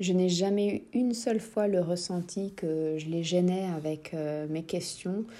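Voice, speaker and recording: A woman's fairly low-pitched voice with a dark, mellow tone and fairly even intonation. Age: 30s. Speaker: mother sharing experience. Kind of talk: recorded testimony.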